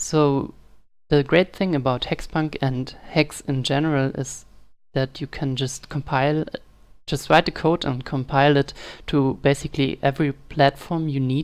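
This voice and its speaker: A woman's very deep, low voice with a non-native accent, monotone and flat, at a moderate pace, in a very clean recording with a silent background. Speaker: game dev tutorial maker. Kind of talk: screen-recorded software tutorial. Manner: casual, hesitant.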